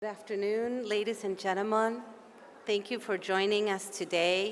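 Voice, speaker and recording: A woman with an Argentine accent speaks at a moderate pace in a medium pitch, her intonation monotone and flat, with audible room echo around her. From Argentina. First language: Spanish. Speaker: policy advocate and session moderator. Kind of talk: conference opening speech. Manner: formal.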